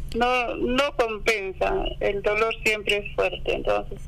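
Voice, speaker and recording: Over noticeable background noise, a man with a high pitch uses a raised, projected voice at a fairly slow pace. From Peru, Apurímac. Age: 50s. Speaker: farmer. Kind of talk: interview.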